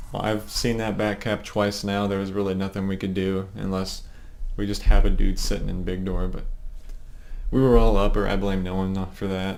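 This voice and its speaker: A man speaks in a monotone with flat intonation and a fairly low pitch, with audible room echo around him. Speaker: competitive gamer and team leader. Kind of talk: game demo review for teammates. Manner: casual, fast. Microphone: low quality recording.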